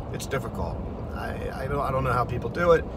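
A man speaks in a dry voice with no echo over loud background noise. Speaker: driver vlogger. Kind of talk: casual vlog chat. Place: car. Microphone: phone near.

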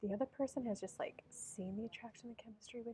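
A woman with a dark, mellow tone and a somewhat breathy voice talks at a fairly quick pace in fairly even intonation over light background noise. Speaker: tarot reader. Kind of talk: tarot reading commentary. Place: cafe.

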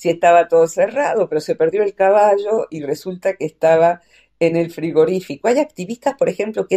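A woman with a dark, mellow tone and fairly low pitch speaks at a fairly quick pace in a dry, close sound with no echo. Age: 60s. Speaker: psychologist. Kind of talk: radio interview. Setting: radio station.

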